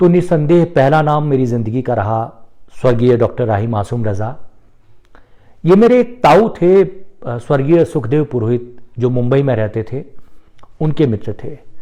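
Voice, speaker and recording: A man with a Marathi accent speaks in a dark, mellow tone, leaving long, frequent pauses. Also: medium pitch for a man, lively intonation. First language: Marathi (speaking Hindi). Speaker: poet and former journalist. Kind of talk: personal talk on Facebook live. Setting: Facebook live.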